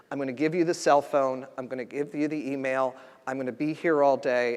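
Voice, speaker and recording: This man speaks in an East Coast US accent, his pitch fairly high for a man and his intonation fairly even. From US East Coast. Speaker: federal health official. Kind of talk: conference speech. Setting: stage with audience.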